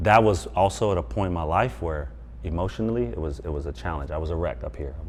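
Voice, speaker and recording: Talking at a very fast pace, a man with an American accent has a very deep, low pitch, lively intonation and vocal fry. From US West Coast. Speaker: former NFL player and mental performance coach. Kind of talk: interview.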